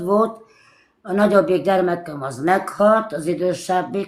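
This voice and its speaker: This woman's voice sits at a medium pitch. She speaks at a fairly slow pace. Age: 60s. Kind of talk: casual chat. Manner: halting.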